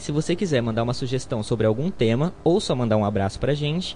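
Somewhat breathy, a man talks at a fairly quick pace. His intonation is lively. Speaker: student radio host. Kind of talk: scripted narration.

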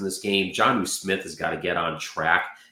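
A man speaks with audible room echo. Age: 40s. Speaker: sports podcast co-host. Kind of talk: casual chat.

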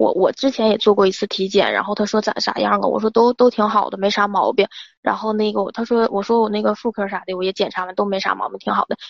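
With fairly even intonation and a fairly high pitch, a woman speaks at a very fast pace. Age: 20s. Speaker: caller. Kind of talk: advice call-in, personal story. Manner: halting, repetitive.

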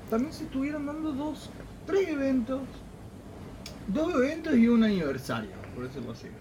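Delivered at a moderate pace, the speech has long, frequent pauses. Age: 30s. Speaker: podcast host. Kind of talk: casual chat.

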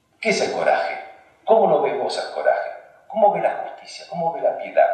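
A man talks at a moderate pace. Room echo is audible in the recording. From Argentina. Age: 40s. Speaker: philosopher and author. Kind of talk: public talk with discussion.

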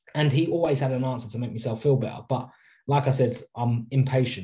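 A man speaks very fast in a somewhat breathy voice with a dark, mellow tone. His pitch is medium and his intonation fairly even. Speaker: podcast co-host. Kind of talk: casual chat. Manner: casual, chatty.

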